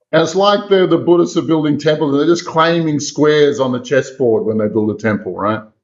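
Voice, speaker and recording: This man's voice is fairly high, with lively intonation. He talks at a fairly quick pace with hardly any pauses. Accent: Australian. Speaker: exorcist and remote viewer. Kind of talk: interview storytelling. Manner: animated.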